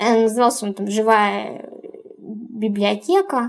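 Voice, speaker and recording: Speaking at a very slow pace, a woman uses a fairly high pitch. Her words come out slowly throughout. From Ukraine. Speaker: business coordinator. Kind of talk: personal monologue.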